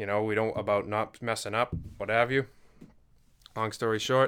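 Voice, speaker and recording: This man has a Massachusetts accent and a bright, sharp tone at medium pitch. He speaks at a moderate pace on a very clean recording with a silent background. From Massachusetts, Duxbury. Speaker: church member, guest. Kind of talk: casual interview chat. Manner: halting.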